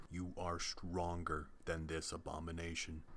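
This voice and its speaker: Over clear background noise, a man uses a put-on character voice with a very deep, low pitch at a moderate pace. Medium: read story.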